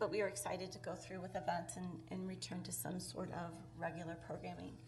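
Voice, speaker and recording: There is audible room echo. A woman talks very fast. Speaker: tourism bureau director. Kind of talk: presentation to city council. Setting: city council meeting, microphone. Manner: soft-spoken.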